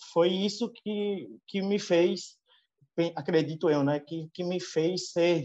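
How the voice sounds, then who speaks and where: This man's voice is high-pitched with a dark, mellow tone and ordinary pitch variation. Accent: strong northeastern Brazilian. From Northeast Brazil (Alagoas). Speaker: veterinarian, livestock consultant. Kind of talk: interview. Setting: video call. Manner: hesitant, many filler repetitions.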